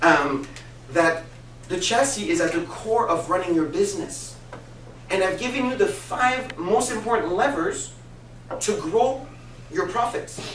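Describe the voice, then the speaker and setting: The speaker uses an animated tone and lively intonation, with long, frequent pauses. Noticeable background noise and audible room echo fill the recording. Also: man, high pitch for a man. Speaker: business coach. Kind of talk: business presentation. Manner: fast.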